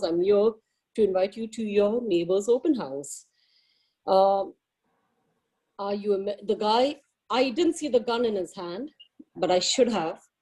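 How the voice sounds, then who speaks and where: A woman's medium-pitched, dark, mellow voice with an Indian accent at a moderate pace. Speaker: realtor. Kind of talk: personal testimony at a meeting. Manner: halting.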